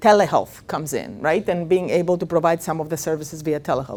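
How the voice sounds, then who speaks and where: A woman with a Greek accent on a very clean recording with a silent background. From Greece. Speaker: professor of speech and swallowing research. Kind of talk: lecture. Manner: many fillers (uh, um).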